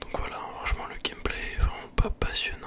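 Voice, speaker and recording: A man whispers at a fairly slow pace with noticeable background noise. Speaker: ASMR and gaming YouTuber. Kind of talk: casual talk to camera, post-commentary on a game. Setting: close microphone. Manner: relaxed, chatty.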